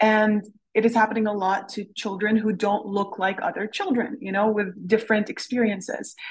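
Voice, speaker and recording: A woman speaks at a fairly high pitch. Her voice is somewhat breathy, with monotone, flat intonation. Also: moderate pace. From Canada. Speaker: novelist. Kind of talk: interview. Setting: lab.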